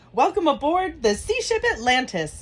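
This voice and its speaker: A put-on character voice rises to a high pitch with very wide pitch swings. The pace is moderate. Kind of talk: computer announcement. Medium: read story. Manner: flat, formal.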